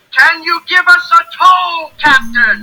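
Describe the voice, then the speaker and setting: An extremely high-pitched, put-on character voice. It speaks at a very slow pace. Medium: read story.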